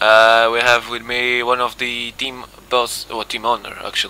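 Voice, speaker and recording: Through noticeable background noise, a man with a Madeiran accent speaks in a monotone, flat intonation. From Madeira, Portugal. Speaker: sim racing commentator. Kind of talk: live commentary.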